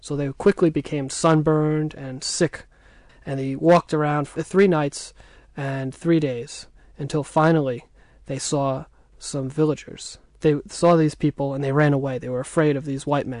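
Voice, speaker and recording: This man has an ordinary speaking voice with an American accent and a fairly high pitch. He keeps a moderate pace and fairly even intonation over a quiet background. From United States. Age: 20s. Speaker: war history researcher. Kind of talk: radio interview.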